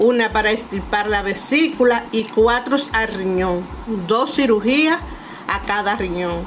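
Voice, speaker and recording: A fairly high-pitched woman with a Dominican accent, a fairly slow pace, ordinary pitch variation and noticeable background noise. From Dominican Republic, Montecristi. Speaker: cultural manager and consultant. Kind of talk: personal storytelling narration.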